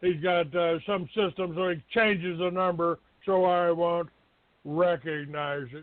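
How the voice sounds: Speaking at a fairly slow pace, a man uses a high pitch and fairly even intonation.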